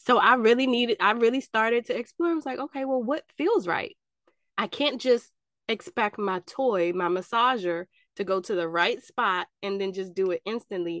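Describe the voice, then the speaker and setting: At a fairly high pitch, a woman talks at a moderate pace with lively intonation. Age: 40s. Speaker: podcast host. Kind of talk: casual chat. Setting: video call. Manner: animated.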